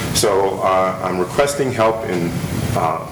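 Fairly low male speech, its pitch moving in an ordinary way, with noticeable noise behind it. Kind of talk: public comment at a meeting. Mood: polite, earnest request. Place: meeting room. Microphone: podium.

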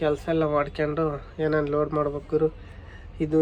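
A man talks in a monotone, flat intonation. Background noise is noticeable. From Chitradurga, Karnataka. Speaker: truck driver vlogger. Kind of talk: casual vlog narration. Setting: in a truck.

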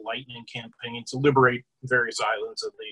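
A man talks in a bright, sharp tone against a quiet background. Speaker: presenter. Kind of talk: lecture. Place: home room. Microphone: webcam.

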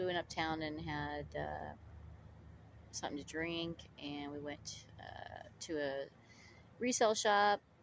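A woman at a fairly slow pace, ordinary pitch variation, dry sound with no echo, and light background noise. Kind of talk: casual vlog chat. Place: open country. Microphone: phone near.

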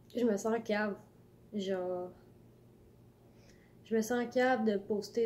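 A woman's fairly high voice in a Quebec accent, with light background noise. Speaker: vlogger. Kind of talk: casual talk to camera. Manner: halting, rambling. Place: home room. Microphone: phone near.

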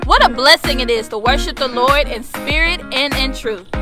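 A woman at a moderate pace, clear music in the background, dry sound with no echo. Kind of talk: welcome and announcements. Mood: warm, welcoming. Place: open country.

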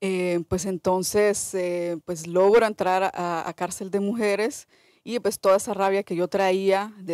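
A woman speaks at medium pitch and a fairly slow pace, with fairly even intonation. The sound is dry with no echo, against a quiet background. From El Salvador. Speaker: documentary filmmaker; film director on panel. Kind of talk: panel discussion. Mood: earnest, engaged. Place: hall. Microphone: podium.

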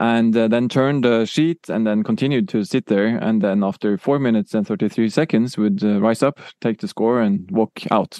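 A man with a Norwegian accent and a medium pitch talks at a moderate pace with hardly any pauses, a dark, mellow tone, very even loudness, and ordinary pitch variation over a quiet background. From Norway. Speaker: music technology professor. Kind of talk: interview. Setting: in Oslo.

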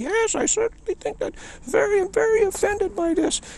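A squeaky, put-on character voice is performed here. It moves at a moderate pace. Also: man, extremely high pitch for a man. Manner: silly, offended.

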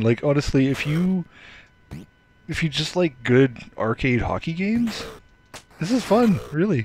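A man speaks in a fairly high voice with very wide pitch swings. Noticeable background noise runs behind him. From Canada. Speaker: gaming YouTuber. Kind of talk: casual gameplay commentary. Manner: animated, frequent laughter.

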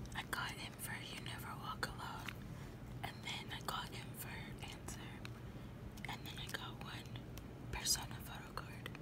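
Against loud background noise, the speech moves at a moderate pace with long, frequent pauses and a dry sound with no echo. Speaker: ASMR creator. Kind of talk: ASMR show-and-tell. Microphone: phone near.

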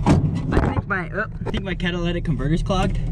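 Loud background noise surrounds a man speaking at a moderate pace, the sound itself dry with no echo. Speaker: off-road vlogger. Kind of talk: casual vlog chat. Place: car. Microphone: phone near.

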